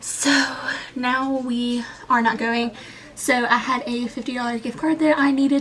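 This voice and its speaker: Noticeable background noise sits behind this recording. A woman talks in a high pitch with fairly even intonation. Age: 20s. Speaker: booktuber vlogger. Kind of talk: casual vlog, product show-and-tell. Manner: casual, filler-heavy.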